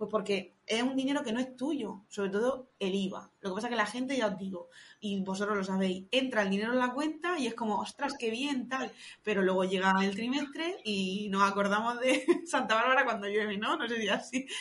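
Speaking at a fairly quick clip, this woman has an ordinary speaking voice, pitched fairly high and varying in an ordinary way. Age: 30s. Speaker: tax advisor. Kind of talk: podcast interview.

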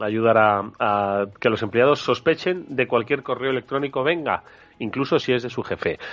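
At a fairly slow pace, a man speaks with a Spanish accent. His pitch is medium, with ordinary variation. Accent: Peninsular Spanish. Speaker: radio host. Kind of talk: radio talk show interview. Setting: radio studio, live broadcast. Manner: hesitant, with fillers and repeated words.

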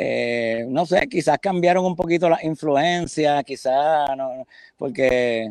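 A man speaks at a very slow pace. His pitch is fairly high, with ordinary pitch variation. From Puerto Rico, San Juan. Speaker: rock drummer. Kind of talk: interview. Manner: halting.

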